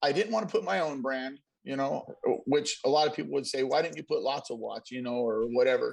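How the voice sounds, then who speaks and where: A man's fairly high, plain, everyday voice, with lively intonation, at a fairly quick pace. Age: 40s. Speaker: car audio show co-host, tattoo artist. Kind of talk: casual chat.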